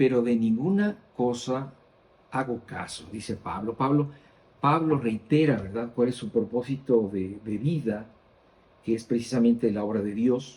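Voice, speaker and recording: At a fairly slow pace, a man speaks with medium pitch, a dark, mellow tone, lively intonation and a somewhat breathy quality. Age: 60s. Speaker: Bible teacher. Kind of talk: Bible study teaching.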